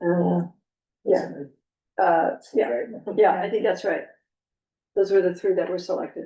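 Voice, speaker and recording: A woman's dark, mellow, medium-pitched voice with vocal fry, fairly even intonation, a fairly slow pace and long, frequent pauses. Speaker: planning commission staff or chair. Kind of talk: public meeting. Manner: hesitant with fillers.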